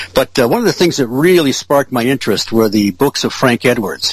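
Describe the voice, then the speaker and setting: With an American accent, a man talks at a fairly quick pace with lively intonation over noticeable background noise. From Michigan, Detroit area (Ferndale). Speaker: UFO researcher. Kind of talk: casual interview.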